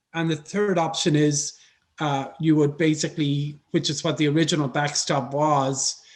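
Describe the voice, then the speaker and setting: A man talks at a moderate pace against a quiet background. His fairly high pitch stays monotone, with flat intonation. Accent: Irish. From Ireland, Dublin. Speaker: foreign policy expert. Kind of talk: panel discussion.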